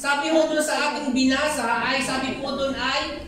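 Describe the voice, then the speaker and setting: The voice is loud and moves at a fairly slow pace. Audible room echo and noticeable background noise accompany it. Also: woman. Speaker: preacher. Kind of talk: sermon.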